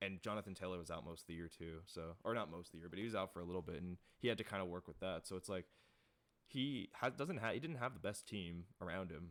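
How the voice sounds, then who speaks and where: Mumbling at a very fast pace, a man speaks with a very deep, low pitch and ordinary pitch variation. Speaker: sports YouTuber. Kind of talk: casual tier list commentary. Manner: halting, many restarts.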